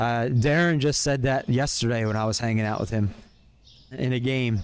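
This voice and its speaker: A man talks at medium pitch with ordinary pitch variation. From US, Pennsylvania (Philadelphia area). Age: 30s. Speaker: streamer. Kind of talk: casual chat. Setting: live stream. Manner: fast. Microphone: new earbuds and mic.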